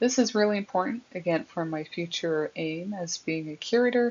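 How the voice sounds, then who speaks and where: With a lively intonation, a woman talks at a fairly slow pace. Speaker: university student. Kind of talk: class presentation. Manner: halting.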